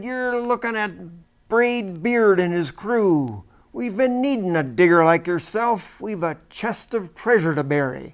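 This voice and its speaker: A man bellows loudly in a high-pitched, put-on character voice at a fairly slow pace. The recording is very clean, with a silent background. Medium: read story. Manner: loud, bellowing.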